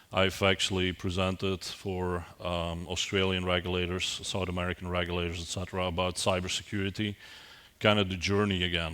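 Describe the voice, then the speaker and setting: Bright and sharp in tone yet very deep and low in pitch, a man with a Belgian accent talks at a moderate pace in a monotone, flat intonation. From Belgium. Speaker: IT security executive, keynote speaker. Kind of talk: conference keynote. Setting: conference stage with audience. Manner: hesitant, with frequent repetitions and fillers.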